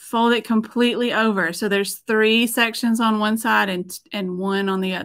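A woman speaks at a moderate pace with a Southern US accent against a quiet background. Her pitch sits fairly high, and her intonation stays fairly even. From Middle Tennessee. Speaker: painter and former art teacher; former art teacher. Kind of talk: tutorial. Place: studio.

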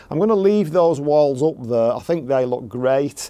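In a dark, mellow tone, a man speaks at a moderate pace. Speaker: gardening vlogger. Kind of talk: casual vlog chat. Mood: pleased, relaxed. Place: garden. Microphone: phone near.

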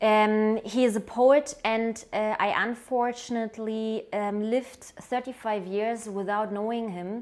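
With a German accent, a woman speaks at a very slow pace. The background is quiet. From Germany. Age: 30s. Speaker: writer and journalist recommending a book. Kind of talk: book recommendation, then reading a poem aloud in German. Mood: warm, enthusiastic. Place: home room. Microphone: lapel.

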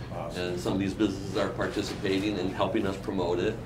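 Over noticeable background noise, a man with an American accent speaks at a fairly low pitch with ordinary pitch variation. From Downriver Detroit area, Michigan; Michigan. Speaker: mayor. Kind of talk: casual chat. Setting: breakfast table, on location. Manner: animated. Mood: upbeat, friendly. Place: cafe. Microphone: studio mic.

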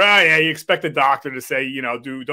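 There's a quiet background as a man speaks at a fairly quick pace. His pitch varies in an ordinary way. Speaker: show host. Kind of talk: interview talk. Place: home room.

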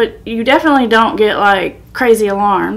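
A woman speaks with ordinary pitch variation. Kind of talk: educational vlog talk. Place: home room.

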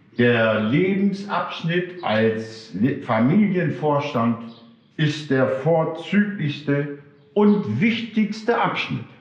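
A man speaks at a very slow pace, his pitch swinging very widely. Audible room echo surrounds the voice. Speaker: storyteller or teacher in costume. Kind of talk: spiritual talk reading a story aloud. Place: hall.

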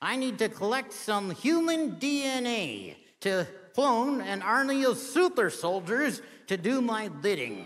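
A put-on character voice from a man, extremely high in pitch, at a fairly slow pace. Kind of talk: talent show comedy act.

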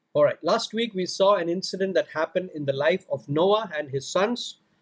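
A high-pitched male voice with ordinary pitch variation over a quiet background. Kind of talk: prayer then bible teaching. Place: home room. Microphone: studio mic.

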